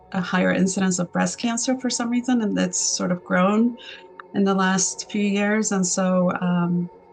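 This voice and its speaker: Music plays in the background. A woman speaks over it at a moderate pace. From Argentina. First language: Spanish. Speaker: artist and entrepreneur. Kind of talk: interview. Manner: halting, many fillers.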